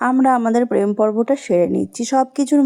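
A woman's fairly high voice has a dark, mellow tone on a very clean recording with a silent background. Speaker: vlogger. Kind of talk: travel vlog narration. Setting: outdoors by a pond.

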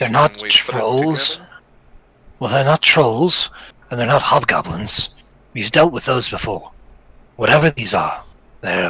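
Pausing long and often, a man talks at a fairly slow pace and a medium pitch. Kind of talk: fantasy tabletop roleplay. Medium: actual play. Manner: worried, hesitant.

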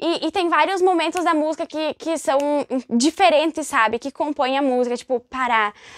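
Speaking at a moderate pace, a woman uses a high pitch, ordinary pitch variation and an animated tone, recorded with a dry, close sound and no echo. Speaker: music YouTuber. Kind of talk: casual vlog talk about music.

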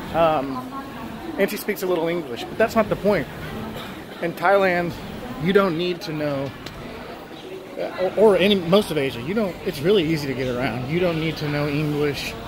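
A man speaks fairly quickly, his pitch varying in an ordinary way, with noticeable noise in the background. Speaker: travel vlogger. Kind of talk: casual vlog chat. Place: station. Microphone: phone near.

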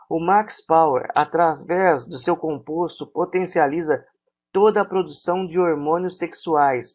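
In a Brazilian accent, a man speaks at a high pitch with ordinary pitch variation on a very clean recording with a silent background. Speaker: product promoter. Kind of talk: infomercial sales pitch. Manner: pushy, repetitive hard-sell urging to buy; hyped, exaggerated promises.

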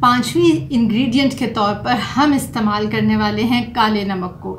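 Speaking at a moderate pace, a woman has a fairly high pitch and ordinary pitch variation.

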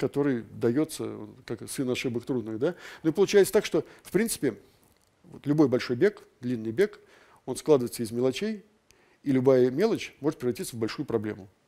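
With a quiet background, a man with a medium pitch and a dark, mellow tone talks at a fairly quick pace with lively intonation. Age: 60s. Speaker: ultramarathon runner and lecturer; invited lecturer. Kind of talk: lecture. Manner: halting. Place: hall. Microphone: headset.

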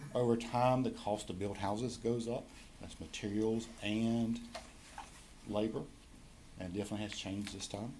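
With long, frequent pauses and audible room echo, a man speaks in a medium pitch with monotone, flat intonation. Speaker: county tax assessor presenting reappraisal. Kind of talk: presentation to county board. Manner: fast.

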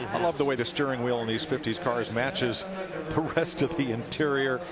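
Over noticeable background noise, a man speaks in an enthusiastic tone with ordinary pitch variation. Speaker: car auction commentator. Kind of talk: live commentary. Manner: enthusiastic, admiring.

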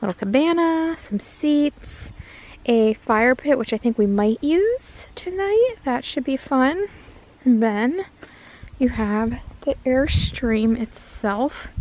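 A woman's high voice, very slow and lively in intonation, with a dry sound and no echo. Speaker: vlogger. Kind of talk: casual vlog chat. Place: garden. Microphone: phone near.

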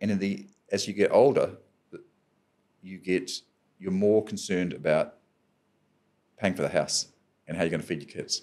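A man talks with a New Zealand accent over a quiet background. His pace is moderate, with big swings in loudness and long, frequent pauses. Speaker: adventurer and professional speaker; podcast guest. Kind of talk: podcast interview answer. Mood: reflective, calm. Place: studio. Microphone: studio mic.

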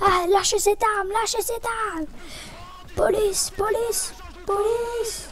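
A woman shouts in a put-on character voice at an extremely high pitch and a moderate pace, with long, frequent pauses. Background noise is clear. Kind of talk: commanding. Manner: panicked, shouting.

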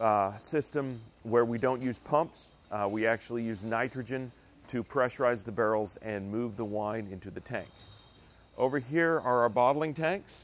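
With ordinary pitch variation, a man talks at a fairly slow pace in a dry sound with no echo. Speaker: winery staff guide. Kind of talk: tutorial. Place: factory.

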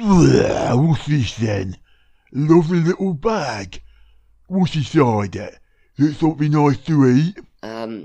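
A man's voice sits fairly high and moves at a very slow pace. His pitch swings very widely. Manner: dim-witted, gruff, childish.

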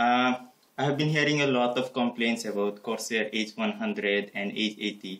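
Speaking at a moderate pace, a man with a non-native accent talks at a medium pitch with ordinary pitch variation. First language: not English. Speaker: tech YouTuber. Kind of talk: hardware teardown tutorial. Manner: hesitant, many filler words.

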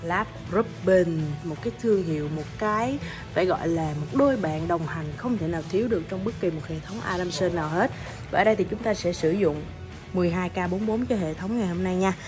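Over clear background music, a woman talks at a fairly quick pace in a fairly low voice with ordinary pitch variation. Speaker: presenter. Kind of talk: product walkthrough commentary. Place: bar. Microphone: phone near.

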